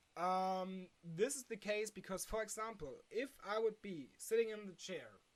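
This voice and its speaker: Fairly slow speech with lively intonation in a German accent. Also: woman. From Germany. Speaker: philosophy video creator. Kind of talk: unscripted explainer monologue. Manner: halting, with many fillers.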